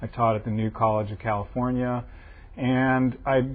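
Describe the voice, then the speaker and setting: A man with an American accent and a plain, everyday voice, at a moderate pace with fairly even intonation. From US West Coast, Los Angeles. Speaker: antiquarian bookseller. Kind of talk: interview.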